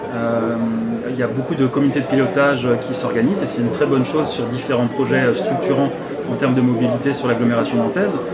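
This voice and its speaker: At a fairly quick pace, a man talks over crowd noise in the background, with audible room echo. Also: medium pitch for a man, ordinary pitch variation. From France, Nantes. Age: 30s. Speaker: city councillor. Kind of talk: interview. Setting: brasserie. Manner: hesitant.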